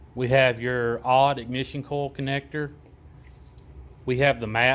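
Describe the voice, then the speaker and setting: With a strong Southern accent, a man at medium pitch speaks at a moderate pace in a monotone, flat intonation. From US South. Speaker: auto parts maker demonstrating product. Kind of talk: product walkthrough tutorial. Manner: casual, halting with fillers.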